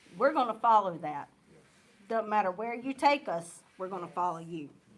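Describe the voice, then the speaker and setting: A woman with a Southern US accent speaks at a medium pitch and a moderate pace. Her intonation is lively and her loudness swings widely. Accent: US South. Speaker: church youth leader. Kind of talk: church vision presentation.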